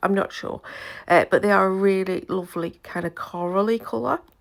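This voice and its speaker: A woman with a British accent at a moderate pace, on a very clean recording with a silent background. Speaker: scrapbooker. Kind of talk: casual talk to camera.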